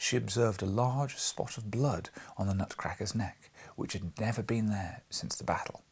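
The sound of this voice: Here the reading voice sounds unforced.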